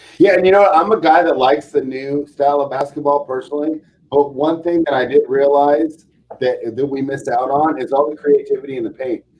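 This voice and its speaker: This man has an unremarkable speaking voice with a fairly high pitch. He talks at a fairly quick pace with fairly even intonation. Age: 40s. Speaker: sports betting podcast host. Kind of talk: casual chat.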